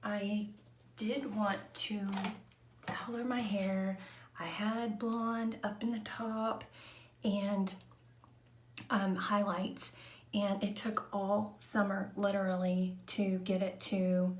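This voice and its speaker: A woman whispering very slowly, with long, frequent pauses, audible room echo and noticeable background noise. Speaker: vlogger. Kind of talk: casual chat. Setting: live stream at home. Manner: hesitant, many fillers.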